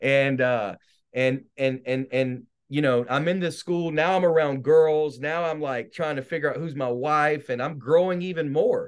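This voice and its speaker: Speaking at a moderate pace in a normal speaking voice, a man with an American accent and a fairly high pitch shows ordinary pitch variation. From North Carolina (born South Carolina). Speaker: minister and evangelist. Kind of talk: testimony. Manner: casual.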